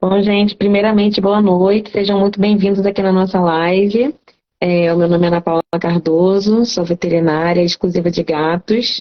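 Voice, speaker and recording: Woman with a Carioca accent at a moderate pace, medium pitch, fairly even intonation and very even loudness. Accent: carioca (Rio de Janeiro) Portuguese. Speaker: cat veterinarian. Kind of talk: live stream talk, educational. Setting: live stream.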